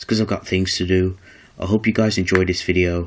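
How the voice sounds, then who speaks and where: Against noticeable background noise, a man talks in a very deep, low pitch. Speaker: YouTuber showing card game deck. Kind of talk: casual tutorial. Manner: fast; hesitant, many fillers.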